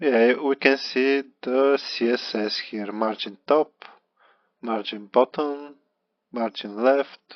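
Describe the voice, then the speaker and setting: Speaking very slowly with long, frequent pauses, a man with a Bulgarian accent keeps a medium pitch and fairly even intonation. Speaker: beginner web developer vlogger. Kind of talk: screen-recorded tutorial walkthrough. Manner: halting, with repetitions.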